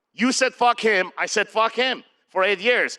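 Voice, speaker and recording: Raised and projected, a man's high-pitched voice sounds bright, sharp and animated in a dry, close recording with no echo. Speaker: men's retreat leader. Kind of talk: motivational talk.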